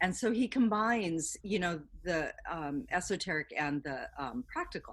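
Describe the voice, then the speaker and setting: The recording is very clean with a silent background. A woman speaks at a moderate pace and medium pitch, with very wide pitch swings. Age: 60s. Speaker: artist and educator. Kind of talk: interview.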